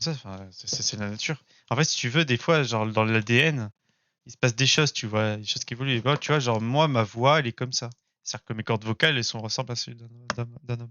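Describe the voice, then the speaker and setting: Speaking at a very fast pace, a man with a medium pitch shows big swings in loudness and ordinary pitch variation. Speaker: online voice chat participant. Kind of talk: casual trolling chat. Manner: hesitant, filler-heavy.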